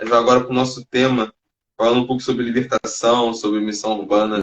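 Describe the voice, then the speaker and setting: A man with a Rio de Janeiro accent talks at a fairly quick pace, medium in pitch and monotone with flat intonation. The sound is dry and close with no echo. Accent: Carioca Brazilian Portuguese. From Rio de Janeiro, Brazil. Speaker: live stream host, street evangelist. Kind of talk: casual chat. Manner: halting; heavy slang.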